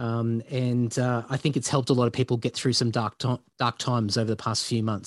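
At a fairly quick pace, a man with a medium pitch and an Australian accent talks against a quiet background, the sound dry and close with no echo. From Queensland, Australia. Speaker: heavy metal bassist and podcaster. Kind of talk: casual interview.

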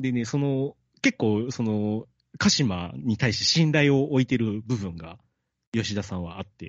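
Lively in intonation, a man with a plain, everyday voice speaks at medium pitch and a fairly slow pace. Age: 30s. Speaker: podcast host and amateur bassist. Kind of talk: casual chat about a book.

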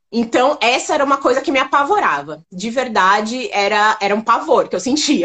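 Very wide pitch swings at a moderate pace. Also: woman. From São Paulo, Brazil. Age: 30s. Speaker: makeup store founder. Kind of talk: interview.

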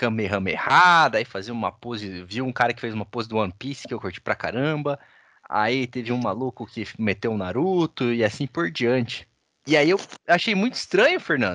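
A man at medium pitch, moderate pace and lively intonation, bright and sharp in tone, dry and close with no echo over a quiet background. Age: 20s. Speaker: podcast host. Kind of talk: casual chat.

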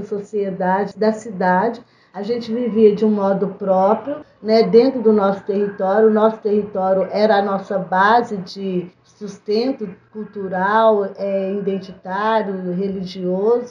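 An ordinary speaking voice from a woman, medium in pitch, fairly slow in pace with hardly any pauses and fairly even intonation. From Brazil, Belo Horizonte. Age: 50s. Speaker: community political organizer. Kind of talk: interview.

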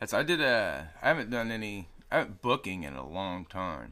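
Bright and sharp in tone, a man speaks at a fairly quick pace with vocal fry and very wide pitch swings, in a very clean recording with a silent background. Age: 30s. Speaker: rapper and sound engineer. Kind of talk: casual chat.

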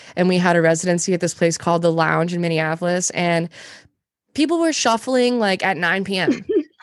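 Speaking at a fairly quick pace with an American accent, a woman has an unremarkable speaking voice, a fairly low pitch, ordinary pitch variation and very even loudness against a quiet background. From Montana. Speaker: music producer and vocalist. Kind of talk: casual interview chat. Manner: casual, filler-heavy.

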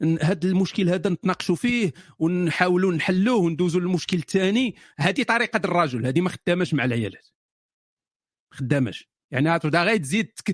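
In a Moroccan accent, a man speaks at a high pitch and a moderate pace, with lively intonation and very even loudness. The sound is dry and close with no echo, over a quiet background. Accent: Moroccan Darija. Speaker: live-stream matchmaking host. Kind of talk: casual live-stream chat with callers. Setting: online live room with callers. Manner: animated, joking.

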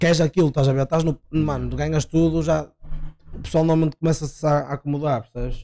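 This man's voice sits fairly high, with a dark, mellow tone and a fairly quick pace. The sound is dry and close, with no echo. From Portugal, Barcelos. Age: 20s. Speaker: judo athlete. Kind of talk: casual chat.

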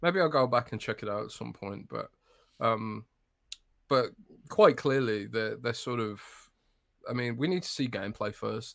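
With an English Midlands accent, a man speaks at a medium pitch and takes long, frequent pauses. The recording is very clean, with a silent background. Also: ordinary pitch variation, moderate pace. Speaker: games journalist. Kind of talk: casual chat.

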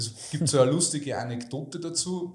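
The voice is somewhat breathy, and audible room echo surrounds it. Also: man. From Lower Austria (Melk area). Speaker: financial advisor and entrepreneur. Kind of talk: interview conversation. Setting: in-person, Salzburg.

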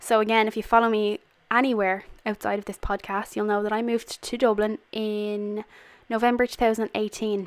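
With an Irish accent, a woman speaks at a fairly quick pace in a fairly high pitch. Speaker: podcast host. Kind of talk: casual monologue. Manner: animated.

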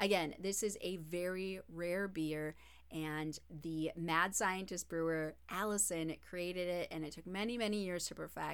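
A woman speaks in an unremarkable speaking voice at a fairly low pitch. Her pace is fairly slow and her intonation fairly even. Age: 30s. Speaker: podcast co-host and radio host. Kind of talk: casual chat with storytelling.

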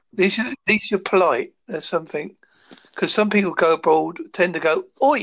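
With a British accent, a man talks at a moderate pace in a high voice with lively intonation. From United Kingdom. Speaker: guest. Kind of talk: casual chat.

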